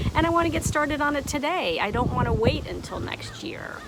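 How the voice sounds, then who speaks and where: A woman speaks fairly quickly with lively intonation while noticeable background noise carries on. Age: 60s. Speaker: online art teacher. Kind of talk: motivational talk to camera. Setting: outdoors on a deck.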